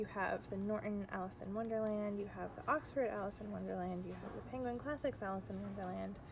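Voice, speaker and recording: A soft-spoken woman at a very fast pace with hardly any pauses. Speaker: book vlogger and grad student. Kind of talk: casual vlog. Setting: in a bookstore. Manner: casual with fillers.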